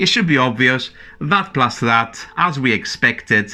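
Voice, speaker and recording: A man with a non-native accent speaks at medium pitch and a moderate pace, with lively intonation. Music plays in the background. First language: not English. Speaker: maths teacher. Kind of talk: tutorial. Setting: at a whiteboard.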